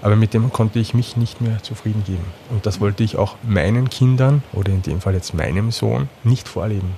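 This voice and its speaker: Speaking at a fairly quick pace, a man uses a fairly low pitch with ordinary pitch variation. There is noticeable background noise. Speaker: psychotherapist, former media sales manager. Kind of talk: interview conversation.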